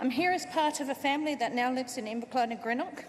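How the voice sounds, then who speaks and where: A woman's high voice with an Australian accent at a fairly quick pace, amid audible room echo and noticeable background noise. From Australia, Port Adelaide. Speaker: party member, first-time speaker. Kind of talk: conference speech. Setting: stage with audience.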